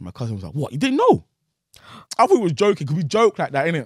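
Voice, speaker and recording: Very wide pitch swings mark a man's voice, captured in a very clean recording with a silent background. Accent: London. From Nigerian family, raised in London. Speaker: comedian and content creator. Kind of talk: casual interview about personal story.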